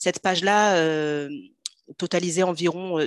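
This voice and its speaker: A woman talks very slowly at a fairly low pitch with fairly even intonation. The sound is dry and close with no echo, over a quiet background. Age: 30s. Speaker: personal finance coach. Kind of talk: casual interview.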